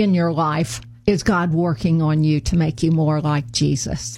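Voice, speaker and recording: A woman speaks in a very deep, low voice with an American accent. Her pace is fairly slow and her delivery somewhat breathy. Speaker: radio host. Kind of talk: interview. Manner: halting with fillers.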